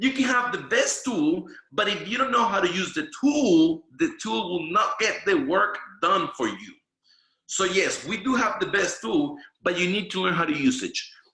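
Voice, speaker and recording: A man's raised, projected voice with a Spanish accent, animated in tone and high in pitch, with very wide pitch swings at a moderate pace. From Venezuela. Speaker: network marketing trainer. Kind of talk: training presentation. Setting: video call.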